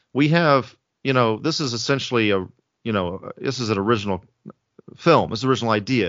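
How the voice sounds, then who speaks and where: Using an American accent, a man with a medium pitch and ordinary pitch variation speaks at a fairly quick pace broken by long, frequent pauses. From US South (Alabama/Georgia). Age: 30s. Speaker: film director. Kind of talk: casual interview. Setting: video call.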